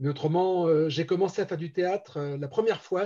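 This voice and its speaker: Speaking at a moderate pace, a high-pitched man with a dark, mellow tone uses ordinary pitch variation. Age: 60s. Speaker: amateur theatre director and actor. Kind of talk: interview. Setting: live-streamed show. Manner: hesitant, many fillers.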